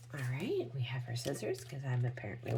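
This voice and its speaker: A woman whispers at a fairly quick pace. Noticeable background noise can be heard. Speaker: beauty product reviewer. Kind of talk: product demo vlog. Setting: at home early morning. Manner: whispering.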